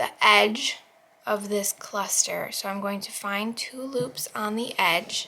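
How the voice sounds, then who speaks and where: A woman speaks at a very slow pace. Her pitch is fairly high and her intonation fairly even. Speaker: crochet tutorial youtuber. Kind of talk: tutorial. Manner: casual.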